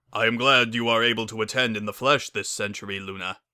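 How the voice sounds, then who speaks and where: A man puts on a rumbling character voice at a medium pitch. He rattles through his lines at a very fast pace. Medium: read story.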